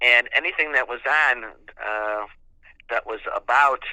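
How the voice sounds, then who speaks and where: This man's voice has a bright, sharp tone. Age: 70s. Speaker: radio talk show host. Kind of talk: interview. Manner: halting, many fillers.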